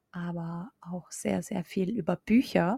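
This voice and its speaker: A woman with a medium pitch sounds somewhat breathy and dark and mellow in tone, in a dry, close recording with no echo. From Austria. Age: 20s. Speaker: mindset coach. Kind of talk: podcast monologue.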